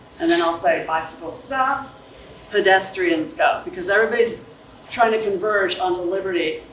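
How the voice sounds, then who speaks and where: With audible room echo and noticeable background noise, a woman talks at a medium pitch with lively intonation. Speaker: school staff member handling bike safety. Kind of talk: presentation to parents and students. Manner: loud.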